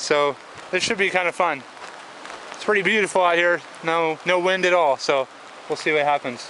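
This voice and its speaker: The speech moves at a moderate pace. The sound is dry with no echo, with light background noise. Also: man. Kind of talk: casual vlog chat. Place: rain. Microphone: phone near.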